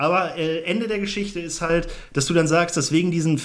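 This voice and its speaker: A man talks at a moderate pace in a fairly high pitch. The room echo is audible. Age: 20s. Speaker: podcast co-host. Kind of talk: casual chat.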